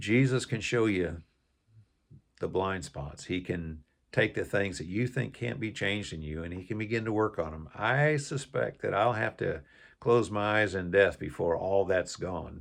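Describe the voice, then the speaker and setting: A man's fairly low voice with lively intonation at a moderate pace, set against a quiet background. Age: 60s. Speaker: YouTuber sharing faith and life lessons. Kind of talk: personal testimony. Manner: halting.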